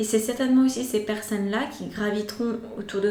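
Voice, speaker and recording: A woman speaks at a moderate pace and a fairly high pitch, with fairly even intonation. The recording has audible room echo and noticeable background noise. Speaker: tarot reader. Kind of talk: tarot reading. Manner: hesitant fillers.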